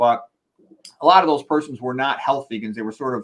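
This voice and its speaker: A man speaks at a medium pitch with ordinary pitch variation. His is an unremarkable speaking voice. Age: 60s. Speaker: medical doctor. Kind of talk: lecture. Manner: casual, conversational.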